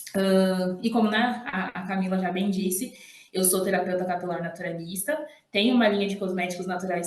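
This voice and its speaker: A woman with fairly even intonation keeps a moderate pace while noticeable background noise plays behind her. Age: 30s. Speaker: hair therapist and entrepreneur. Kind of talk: podcast interview.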